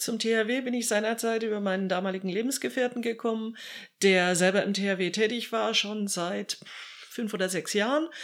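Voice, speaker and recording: This woman has a plain, everyday voice, pitched fairly high, with ordinary pitch variation. She talks at a moderate pace over a very clean recording with a silent background. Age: 50s. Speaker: civil protection volunteer leader. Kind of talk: interview answers.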